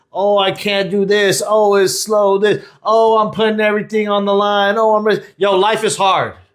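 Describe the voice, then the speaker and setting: In a whiny, put-on character voice, the speaker keeps a flat monotone and very even loudness at a moderate pace with hardly any pauses. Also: man, high pitch for a man. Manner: whining, complaining.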